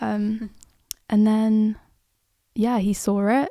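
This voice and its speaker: A woman with a British accent speaks at a fairly high pitch in a dark, mellow tone, her intonation monotone and flat. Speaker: musician. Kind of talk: interview answer.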